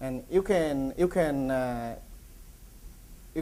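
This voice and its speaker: A man at a very slow pace and fairly high pitch, with a dark, mellow tone, ordinary pitch variation, and audible room echo. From Vietnam. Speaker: feed company executive. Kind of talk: conference presentation. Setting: conference with audience. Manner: halting, many fillers and repetitions.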